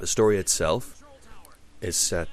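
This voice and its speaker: This man's voice is somewhat breathy. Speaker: video game reviewer. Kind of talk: casual talk to camera. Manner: hesitant, many fillers and repetitions.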